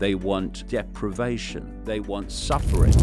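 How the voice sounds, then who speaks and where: A man speaks with music playing in the background. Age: 70s. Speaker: conspiracy theorist author. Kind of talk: interview answer.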